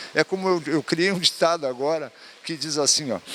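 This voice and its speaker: Here a man talks at a fairly quick pace with ordinary pitch variation. There is noticeable background noise. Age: 70s. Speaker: sports council president, physical education professional. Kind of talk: interview. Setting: event venue.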